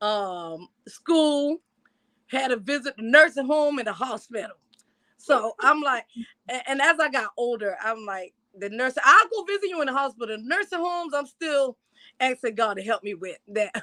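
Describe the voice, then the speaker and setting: With an American accent, a woman speaks in a raised, projected voice at a high pitch, her tone bright, sharp and animated, her pitch swinging very widely at a moderate pace in a dry, close sound with no echo. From South Carolina (Yemassee). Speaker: testimony guest. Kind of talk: testimony.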